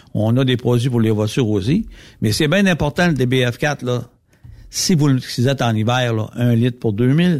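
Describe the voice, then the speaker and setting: A man speaks in an unremarkable speaking voice at medium pitch and a moderate pace, with ordinary pitch variation and very even loudness. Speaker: lubricant company representative. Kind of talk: casual chat.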